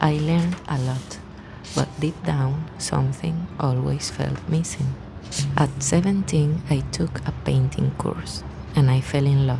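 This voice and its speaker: With a Spanish accent, a woman speaks at a fairly slow pace. There is noticeable background noise. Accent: Spanish-speaking foreign. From Venezuela. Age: 30s. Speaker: artist vlogger. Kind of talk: scripted narration.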